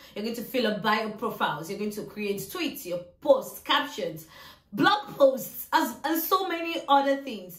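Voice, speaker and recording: Amid noticeable background noise, a woman's high voice makes very wide pitch swings and big swings in loudness. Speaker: social media manager and YouTuber. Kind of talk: tutorial. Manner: fast.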